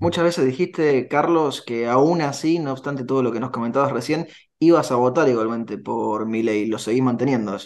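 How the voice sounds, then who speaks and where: Moving at a fairly quick pace, a man speaks with ordinary pitch variation. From Argentina. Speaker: radio host. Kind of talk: radio interview. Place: home room. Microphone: earbuds.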